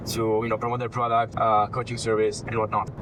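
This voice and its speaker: A man with an Italian accent talks over noticeable background noise. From Italy. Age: 20s. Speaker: personal branding consultant. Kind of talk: casual consultation. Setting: in a car.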